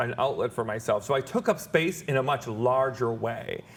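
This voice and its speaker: Here a man talks in a normal speaking voice at a medium pitch. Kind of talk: interview.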